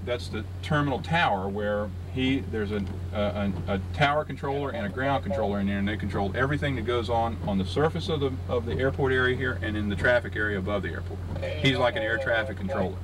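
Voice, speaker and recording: A man with a fairly low voice speaks at a very fast pace over noticeable background noise. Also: ordinary pitch variation. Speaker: military pilot guide. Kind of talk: informal explanation to a group. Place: car. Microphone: old recording.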